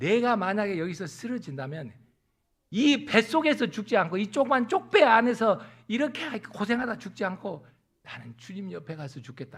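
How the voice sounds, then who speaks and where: A man's voice with very wide pitch swings. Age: 60s. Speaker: pastor. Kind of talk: sermon.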